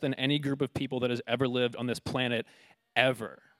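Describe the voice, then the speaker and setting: A man with an American accent speaks very fast at a fairly high pitch, the sound dry and close with no echo. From United States. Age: 20s. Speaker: preacher. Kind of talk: sermon.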